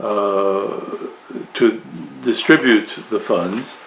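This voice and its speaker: Noticeable background noise behind a man's medium-pitched voice. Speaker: Orthodox priest. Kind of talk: interview. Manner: halting.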